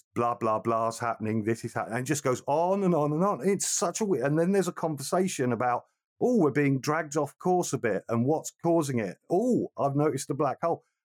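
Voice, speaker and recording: With lively intonation and a fairly quick pace, a man in an unremarkable speaking voice is heard on a very clean recording with a silent background and a dry, close sound with no echo. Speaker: film podcast co-host. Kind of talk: casual chat. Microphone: new microphone with pop filter, sounds clear.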